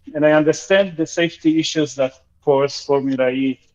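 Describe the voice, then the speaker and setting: With a slight Argentinian accent, a man speaks at a fairly high pitch. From Argentina. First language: Spanish. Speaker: caller. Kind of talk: call-in comment. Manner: hesitant, with fillers.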